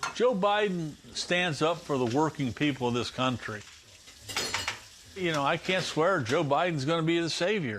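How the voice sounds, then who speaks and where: Over noticeable background noise, a man with a fairly high pitch speaks at a moderate pace with lively intonation, very even loudness and long, frequent pauses. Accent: American. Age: 60s. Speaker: retired steel worker. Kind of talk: interview. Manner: blunt, earthy.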